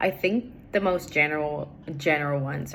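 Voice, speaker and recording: A woman's very deep, low-pitched voice with a Portuguese accent. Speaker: English learner. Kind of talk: recorded assignment answers. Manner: hesitant, many fillers.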